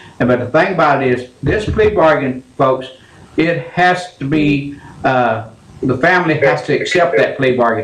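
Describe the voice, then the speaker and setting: Over noticeable background noise, a man with an American accent speaks at a moderate pace with a fairly high pitch. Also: ordinary pitch variation. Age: 70s. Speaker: radio call-in show host. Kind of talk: call-in radio talk.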